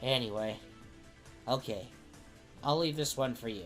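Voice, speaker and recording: The speaker uses a put-on character voice at a low-to-middle pitch. Music plays clearly in the background. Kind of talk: casual game show banter.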